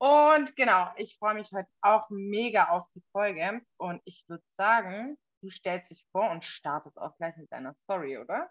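Speaking at a medium pitch with hardly any pauses, a woman's voice shows big swings in loudness and very wide pitch swings. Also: fairly slow pace. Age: 20s. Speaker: podcast co-host. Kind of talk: casual chat.

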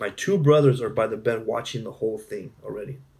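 This man speaks with an American accent. His voice is somewhat breathy. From southern California (Imperial County). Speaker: family social worker. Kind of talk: interview testimony. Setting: in person, San Diego.

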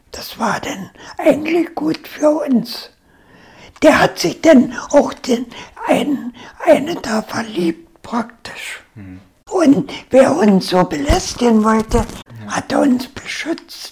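At a very slow pace, a woman speaks in a high pitch with very wide pitch swings and big swings in loudness. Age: 80s+. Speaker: war-era eyewitness. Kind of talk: interview, life story.

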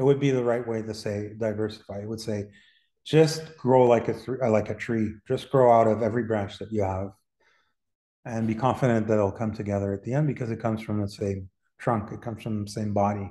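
Against a quiet background, a man with a fairly low pitch and a dark, mellow tone talks at a fairly quick pace with fairly even intonation. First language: French and Spanish. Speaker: artist and gallery owner. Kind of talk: casual interview.

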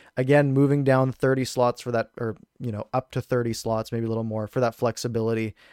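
Dry and close with no echo, a voice with a Canadian accent runs at a very fast pace with hardly any pauses and monotone, flat intonation. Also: man, medium pitch for a man. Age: 20s. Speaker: hockey YouTuber and podcast co-host. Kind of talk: casual sports chat.

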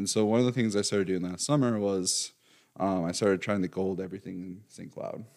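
A man with an unremarkable speaking voice talks at a fairly quick pace, with a fairly low pitch and fairly even intonation. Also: very clean recording, silent background. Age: 20s. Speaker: mental health practitioner. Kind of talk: casual chat.

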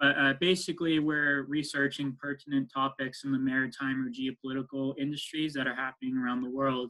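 With an American accent, a man speaks in a fairly high pitch at a moderate pace, his intonation monotone and flat. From US West Coast, San Francisco Bay Area. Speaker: business consultant. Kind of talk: interview. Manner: halting, many fillers.

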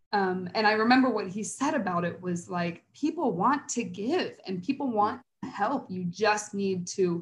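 Somewhat breathy, a woman speaks at a medium pitch and a fairly slow pace. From Cincinnati, Ohio, US Midwest. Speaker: early childhood resource coordinator at a nonprofit. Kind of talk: interview.

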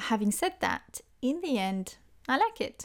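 A fairly slow pace on a very clean recording with a silent background. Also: woman. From France. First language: French. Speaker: language teacher. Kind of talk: solo podcast monologue.

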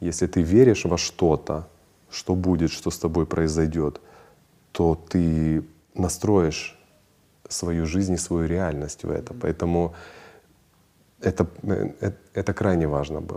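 Very slow and broken by long, frequent pauses, a man's very deep, low voice has a dark, mellow tone and fairly even intonation. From Ukraine, Kharkiv. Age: 40s. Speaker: businessman and traveler. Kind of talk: interview conversation.

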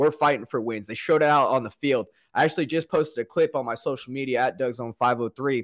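This man has a West Coast accent and a medium pitch, with ordinary pitch variation. He speaks at a very fast pace over a quiet background. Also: dry, close sound with no echo. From US Pacific Northwest, Portland, Oregon. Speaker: sports podcaster and fan. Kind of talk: casual sports chat.

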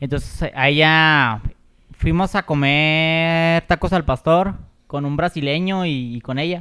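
This man has a Mexican accent and a bright, sharp tone. His very slow delivery has a dry, close sound with no echo. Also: fairly high pitch for a man, fairly even intonation. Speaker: podcast co-host. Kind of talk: casual chat.

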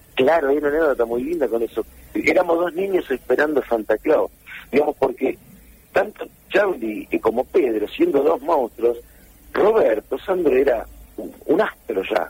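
A man with a Rioplatense accent speaks at a fairly slow pace, the sound dry and close with no echo. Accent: Argentine Rioplatense Spanish. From Junín, Buenos Aires province, Argentina. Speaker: musician and record producer. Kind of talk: interview.

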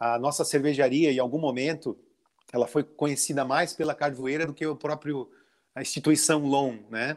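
In a very clean recording with a silent background, a man with a fairly high pitch talks at a moderate pace with fairly even intonation, in a plain, everyday voice. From Santa Catarina, southern Brazil. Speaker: brewery owner and author. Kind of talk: interview.

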